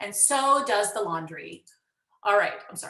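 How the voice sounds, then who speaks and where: This voice has a bright, sharp tone with audible room echo. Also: woman. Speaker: music educator presenting at a conference. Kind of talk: conference workshop presentation. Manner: fast; animated.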